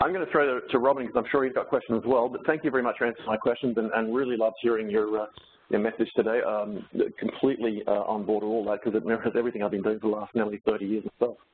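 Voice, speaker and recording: Medium-pitched and very fast, a man's speech shows ordinary pitch variation. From Solomon Islands. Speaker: data scientist. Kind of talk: webcast presentation and panel discussion. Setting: webcast.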